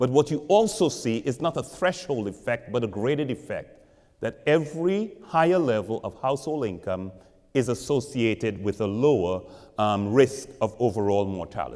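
A man's dark, mellow voice at a moderate pace, with very wide pitch swings and a quiet background. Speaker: professor giving public lecture. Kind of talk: lecture. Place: church.

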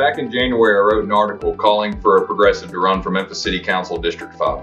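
Faint music sits behind a man who talks at a very fast pace. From Memphis, Tennessee. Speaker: attorney and political candidate. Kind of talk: political campaign announcement. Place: home room. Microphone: camera far.

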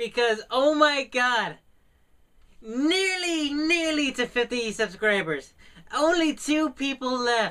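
A man speaks at an extremely high pitch in a raised, projected voice, very slowly, with lively intonation over a quiet background. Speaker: small YouTube vlogger; small channel vlogger. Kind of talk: casual vlog to camera. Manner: hesitant, many fillers. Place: home room. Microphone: studio mic.

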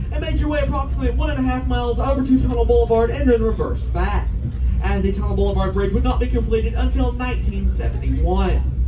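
The speech races along at a very fast pace while noticeable background noise sits behind it. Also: man. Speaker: train tour announcer. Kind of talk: tour narration and announcements. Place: train.

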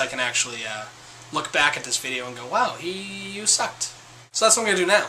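A man rushes along at a very fast pace amid light background noise. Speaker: vlogger. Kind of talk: casual vlog chat. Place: home room. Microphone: phone near.

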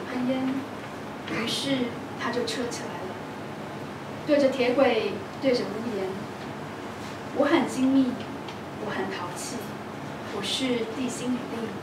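Amid noticeable background noise, a woman speaks fairly slowly with long, frequent pauses. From Taiwan. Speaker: poet. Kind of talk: poetry reading. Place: hall.

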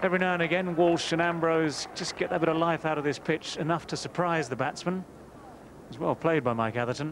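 A man speaks in a normal speaking voice, fairly high in pitch with ordinary pitch variation and a fairly quick pace. The sound is dry with no echo, over light background noise. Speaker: cricket commentator. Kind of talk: live cricket commentary.

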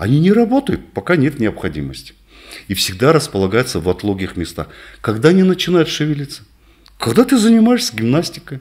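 Against a quiet background, a man talks at a fairly quick pace with long, frequent pauses. His pitch is fairly high for a man and swings very widely. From northern Kazakhstan. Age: 60s. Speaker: physician; interviewee. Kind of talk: interview; exercise demonstration. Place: office. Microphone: studio mic.

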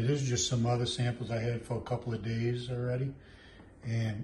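A man's dark, mellow, somewhat breathy voice at a moderate pace over light background noise. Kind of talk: tutorial. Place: kitchen.

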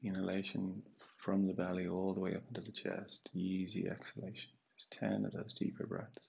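Calm and soothing, a man's very deep, low voice carries vocal fry, a dark, mellow tone and fairly even intonation. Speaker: yoga and meditation teacher. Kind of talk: guided meditation. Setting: online live session. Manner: slow, calm, soothing, with long pauses between cues. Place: home room.

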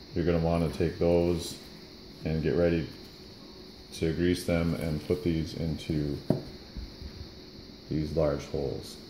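The delivery is fairly slow and monotone, with long, frequent pauses. There is audible room echo and light background noise. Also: man, very deep, low pitch for a man. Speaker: RC car hobbyist. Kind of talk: casual how-to tutorial. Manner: mumbly. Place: workshop. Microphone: phone near.

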